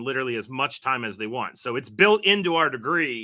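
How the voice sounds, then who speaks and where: A bright, sharp tone with an American accent moves at a moderate pace on a very clean recording with a silent background. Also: man. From West Virginia northern panhandle. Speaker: university professor. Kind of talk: podcast interview.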